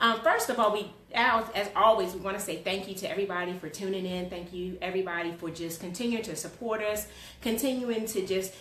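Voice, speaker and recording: Through noticeable background noise and audible room echo, a woman talks at a fairly quick pace with ordinary pitch variation. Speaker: talk show host. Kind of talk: casual interview. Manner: loud.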